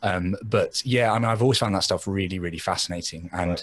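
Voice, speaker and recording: With an English accent, a man talks at a very deep, low pitch using fairly even intonation. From England. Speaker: podcaster and blogger. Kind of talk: casual chat.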